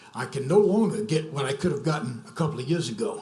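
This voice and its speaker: A man's fairly high-pitched voice at a moderate pace, lively in intonation, with audible room echo. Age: 70s. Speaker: local resident objecting. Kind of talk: public comment. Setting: zoning commission meeting.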